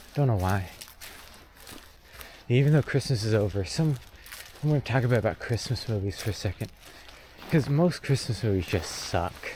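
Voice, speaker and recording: Over noticeable background noise, a soft-spoken man talks at a moderate pace. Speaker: vlogger. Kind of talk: casual monologue while walking. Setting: outdoors on a trail. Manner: hesitant, filler-heavy.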